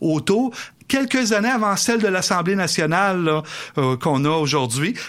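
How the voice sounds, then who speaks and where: In a very clean recording with a silent background, a man talks at a moderate pace in a high pitch. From Quebec City area (Beauport). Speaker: historian. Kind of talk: radio interview.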